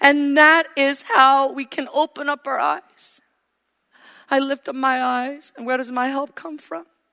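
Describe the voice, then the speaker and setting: On a very clean recording with a silent background, a woman speaks in a high, raised, projected voice with a bright, sharp tone, ordinary pitch variation, a fairly slow pace and big swings in loudness. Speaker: preacher. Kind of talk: sermon. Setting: church.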